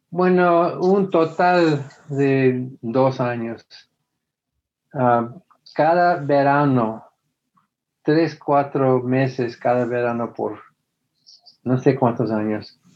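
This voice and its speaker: A man with an American accent speaks at a very slow pace and medium pitch, with ordinary pitch variation. Long, frequent pauses break up his speech. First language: English (speaking Spanish). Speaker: former preacher, atheist activist. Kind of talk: interview. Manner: halting.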